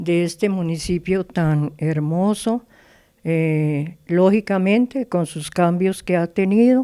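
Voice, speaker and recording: On a very clean recording with a silent background, a woman speaks very slowly in a dark, mellow tone, with fairly low pitch and ordinary pitch variation. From Colombia, Chía (Cundinamarca). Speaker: composer of the municipal anthem. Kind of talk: interview. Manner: halting.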